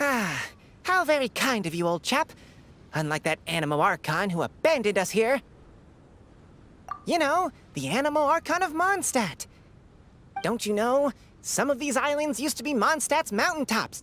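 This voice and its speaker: A cartoonish character voice, fairly high in pitch, swings very widely up and down. It moves at a moderate pace, broken by long, frequent pauses. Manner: chatty, genteel.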